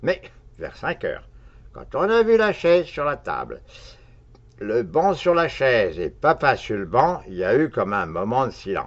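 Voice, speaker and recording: A man's voice makes very wide pitch swings. Vocal fry runs through his speech. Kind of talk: read comic monologue.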